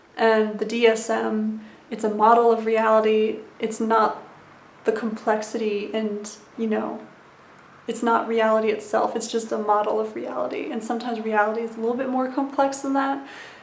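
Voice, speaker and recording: Amid audible room echo, a woman speaks at a moderate pace with a fairly high pitch and flat, monotone intonation. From USA (military family, born in West Germany). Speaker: YouTuber sharing personal recovery journey. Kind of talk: casual vlog monologue. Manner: conversational with frequent fillers.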